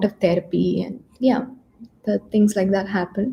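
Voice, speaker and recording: A woman's medium-pitched, somewhat breathy voice in a Keralan accent, dark and mellow in tone, with monotone, flat intonation. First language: Malayalam. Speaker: psychologist giving mental health talks. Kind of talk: live stream talk. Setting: YouTube live session. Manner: hesitant, many fillers.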